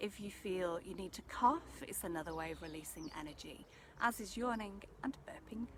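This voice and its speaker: Noticeable background noise sits behind a woman at a medium pitch. She keeps a moderate pace and her pitch swings very widely. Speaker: energy healer / meditation guide. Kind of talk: soft-spoken ASMR energy transmission talk to camera. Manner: soft-spoken, calm.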